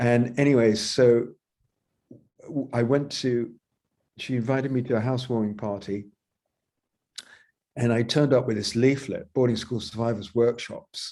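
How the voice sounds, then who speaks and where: A man's dark, mellow tone at a moderate pace, monotone and flat, with long, frequent pauses. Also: medium pitch for a man. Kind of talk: interview. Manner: halting.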